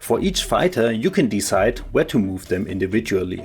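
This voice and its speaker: Music in the background behind a man with a non-native accent, fairly low-pitched, lively in intonation, at a moderate pace. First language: German. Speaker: board game tutorial creator. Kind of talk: board game rules tutorial.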